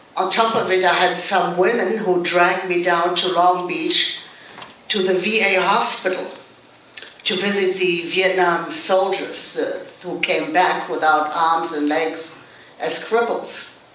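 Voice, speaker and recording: A woman's medium-pitched voice with fairly even intonation at a fairly slow pace, with audible room echo and noticeable background noise. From Germany. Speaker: actress. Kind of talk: panel discussion.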